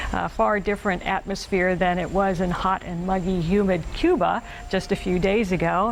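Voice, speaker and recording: In an American accent, a woman with a medium pitch speaks at a moderate pace with fairly even intonation, a plain, everyday voice. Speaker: TV news reporter and anchor. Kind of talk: TV news anchor delivery.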